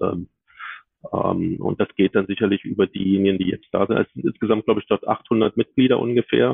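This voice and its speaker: Ordinary pitch variation marks a man's fairly low voice. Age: 50s. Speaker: HR business partner. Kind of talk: interview. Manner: halting, many filler sounds.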